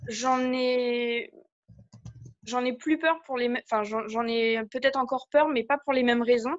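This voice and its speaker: Female speech at a fairly slow pace with ordinary pitch variation. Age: 30s. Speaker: coaching client. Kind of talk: coaching session. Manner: halting.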